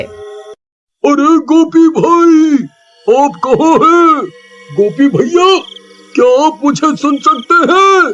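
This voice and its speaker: In a cartoonish character voice, a man speaks at a very slow pace. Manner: urgent, alarmed.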